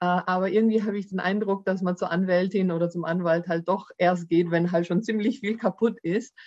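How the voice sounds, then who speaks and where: Over music in the background, a woman speaks at medium pitch with fairly even intonation and hardly any pauses. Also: fairly quick pace. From Germany, Baden-Württemberg (Swabia). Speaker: employment lawyer. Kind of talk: podcast interview.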